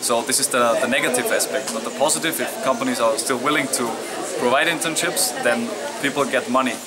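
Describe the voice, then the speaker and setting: Speaking at a fairly quick pace with lively intonation, a man with a German accent is heard in a room with audible echo and noticeable background noise. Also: medium pitch for a man. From Austria. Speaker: youth party leader. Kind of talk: interview. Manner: halting, with fillers.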